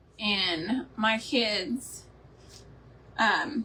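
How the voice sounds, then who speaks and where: A woman talks with a Texan accent. Her voice is fairly high in pitch. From Texas (West Columbia, near Houston). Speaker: homemaking and crafts video host. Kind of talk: live-stream craft tutorial with casual chat. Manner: chatty, animated.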